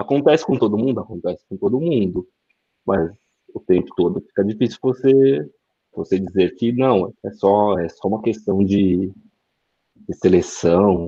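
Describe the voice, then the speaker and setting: A man's fairly low voice with a dark, mellow tone and lively intonation, fairly slow with long, frequent pauses, in a dry, close sound with no echo. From São Paulo metro area, Brazil. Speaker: DevOps engineer. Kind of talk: casual chat.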